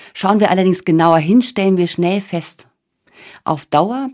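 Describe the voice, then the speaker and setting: This woman has a plain, everyday voice at a fairly low pitch, with ordinary pitch variation and a fairly slow pace. The recording is very clean, with a silent background. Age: 40s. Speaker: podcast host, change coach. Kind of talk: monologue podcast, motivational talk.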